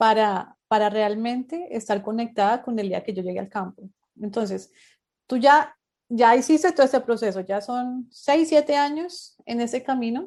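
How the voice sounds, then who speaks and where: A woman's plain, everyday voice, fairly high in pitch, at a moderate pace against a quiet background. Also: lively intonation. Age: 30s. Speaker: podcast host. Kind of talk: interview.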